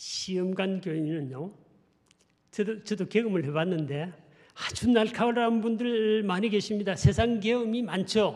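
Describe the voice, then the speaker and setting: A man with a strong Gyeongsang accent speaks fairly slowly at a high pitch with ordinary pitch variation. Room echo is audible. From Gyeongsang region, South Korea. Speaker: pastor. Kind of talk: sermon.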